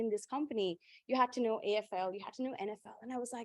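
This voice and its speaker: A woman speaks very fast at a high pitch, her intonation lively and her tone animated, in a dry, close sound with no echo. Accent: strong Indian. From India. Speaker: panelist, corporate professional. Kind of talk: panel discussion.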